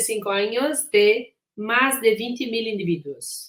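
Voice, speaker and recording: This woman, who has a Portuguese accent, speaks at a fairly high pitch. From Brazil. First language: Portuguese (speaking Spanish). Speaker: physician and researcher. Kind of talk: lecture. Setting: recorded conference talk.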